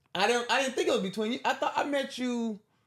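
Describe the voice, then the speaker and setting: A man with a Southern accent is heard on a very clean recording with a silent background. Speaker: comedian. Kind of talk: casual chat.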